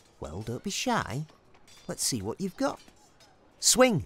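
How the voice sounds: A cartoonish character voice with a husky, rough edge, a fairly bright tone, very wide pitch swings and a slow pace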